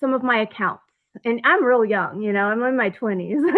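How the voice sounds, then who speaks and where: Her intonation lively, a woman talks at a high pitch. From Oregon, US Pacific Northwest. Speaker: former federal prisoner and author. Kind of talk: interview. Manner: halting, many fillers.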